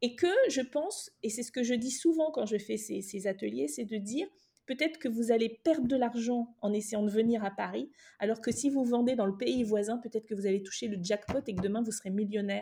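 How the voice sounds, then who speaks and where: A woman talks at a fairly quick pace in a fairly high, somewhat breathy voice with a dark, mellow tone and ordinary pitch variation. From West Africa. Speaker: journalist and fashion entrepreneur. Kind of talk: interview conversation.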